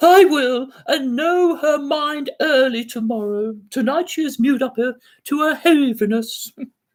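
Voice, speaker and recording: A man does a put-on character voice at an extremely high pitch and a moderate pace. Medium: read story.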